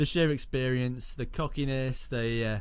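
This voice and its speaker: The voice moves at a moderate pace with lively intonation. Audible room echo surrounds it. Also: man. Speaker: radio show co-host. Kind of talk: casual chat.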